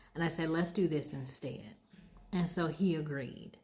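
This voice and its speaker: The voice is somewhat breathy, with an American accent. It moves at a moderate pace in an animated tone. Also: woman. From United States. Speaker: vlogger. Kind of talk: casual storytelling.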